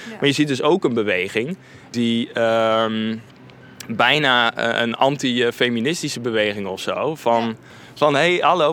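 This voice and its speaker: The speaker is a man with an unremarkable speaking voice at a medium pitch. His pace is moderate. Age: 30s. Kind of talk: interview. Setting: at a church.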